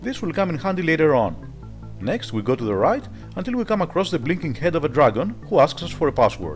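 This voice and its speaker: A man talks at a very fast pace with a Greek accent, his pitch fairly high and swinging very widely. Music plays in the background. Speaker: retro game reviewer. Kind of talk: game review voice-over. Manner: casual, humorous.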